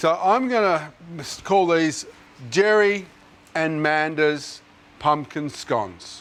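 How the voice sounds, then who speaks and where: Noticeable background noise sits under a very slow delivery with an Australian accent. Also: man. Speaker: TV chef. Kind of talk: cooking tutorial. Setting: kitchen studio on camera. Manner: loud; animated.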